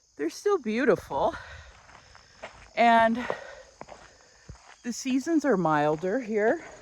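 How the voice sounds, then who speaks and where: A woman's very slow speech with very wide pitch swings, against noticeable background noise. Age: 60s. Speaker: lifestyle vlogger. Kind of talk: casual vlog talk while walking. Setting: outdoors, walking.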